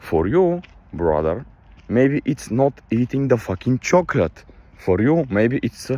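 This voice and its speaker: Pitch swings very widely in this voice with a Balkan accent, at a fairly slow pace. The sound is dry and close, with no echo. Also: man, medium pitch for a man. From Balkans. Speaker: motivational vlogger. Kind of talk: casual motivational monologue. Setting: outdoors on a night walk. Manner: animated.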